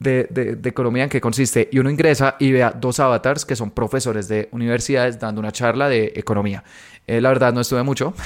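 A man at medium pitch, very fast, with fairly even intonation, in a very clean recording with a silent background. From Colombia. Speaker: podcast host, digital ads marketer. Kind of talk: solo podcast monologue. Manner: frequent filler hesitations.

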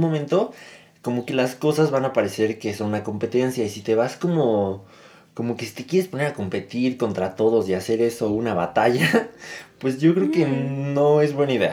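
Medium-pitched male speech, dark and mellow in tone, moderate in speed, with ordinary pitch variation. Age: 20s. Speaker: podcast co-host. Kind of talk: casual chat.

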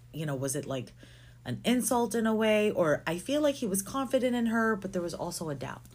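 The speaker talks at a moderate pace with very wide pitch swings. Vocal fry runs through the voice. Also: woman. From Philippines. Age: 30s. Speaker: podcast co-host. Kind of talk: casual chat.

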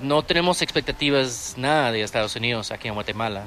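Noticeable background noise sits under a man speaking at medium pitch. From Austin, Texas. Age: 30s. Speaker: restaurant owner and entrepreneur. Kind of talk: interview. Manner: halting.

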